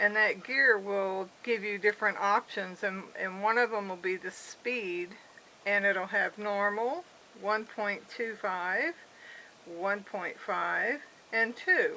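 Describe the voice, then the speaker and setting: A bright, sharp tone and fairly even intonation come through at a very slow pace. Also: woman, medium pitch for a woman. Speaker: craft video maker. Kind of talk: crafting tutorial. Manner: hesitant, with fillers.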